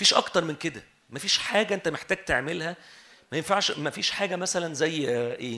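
A man's bright, sharp, fairly high voice at a fairly quick pace, with lively intonation. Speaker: preacher. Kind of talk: sermon.

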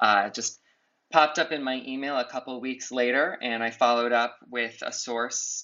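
A man with an ordinary speaking voice talks at a moderate pace with fairly even intonation. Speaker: journalist. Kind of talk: interview.

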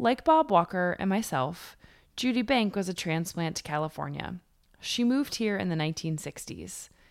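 This woman has a normal speaking voice, with an American accent, medium pitch, lively intonation and a moderate pace. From New York. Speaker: podcast host. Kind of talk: scripted narration.

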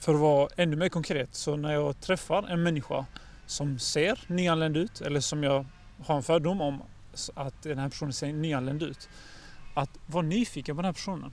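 A man speaks in an ordinary speaking voice, fairly high in pitch. His pace is moderate and his intonation fairly even. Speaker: education company representative. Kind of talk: casual chat. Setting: outdoors.

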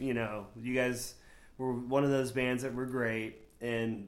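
Recorded with audible room echo, a man with an American accent speaks at a medium pitch and a moderate pace. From Florida. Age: 40s. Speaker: podcast host. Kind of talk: casual chat.

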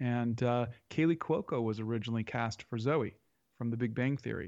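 Speaking at a moderate pace, a man uses a medium pitch with ordinary pitch variation. The background is quiet. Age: 50s. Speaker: comic writer and film director. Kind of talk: interview. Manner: halting.

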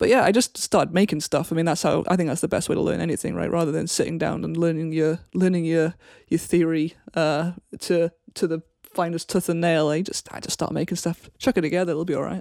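Speaking very fast with a South Wales accent, the voice has a dark, mellow tone and fairly even intonation, recorded dry and close with no echo and a silent background on a very clean recording. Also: woman, fairly low pitch for a woman. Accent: Welsh (south Wales). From Wales, Cardiff area. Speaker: guitarist. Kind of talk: interview. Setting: internet call.

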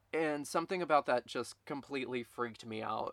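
A man speaks at a moderate pace with ordinary pitch variation in a plain, everyday voice, the sound dry and close with no echo. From Texas, Baytown near Houston. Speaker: podcast host and dance performer. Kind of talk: casual monologue.

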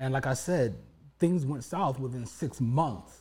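Somewhat breathy male voice, dark and mellow in tone, with lively intonation. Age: 40s. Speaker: podcast co-host, divorced and remarried husband. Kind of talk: casual chat.

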